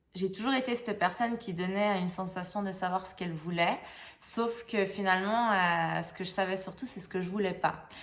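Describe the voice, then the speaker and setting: Fairly even intonation marks this woman's medium-pitched voice. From Switzerland. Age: young. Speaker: life coach. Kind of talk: channel introduction monologue. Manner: halting, many hesitations and repeats.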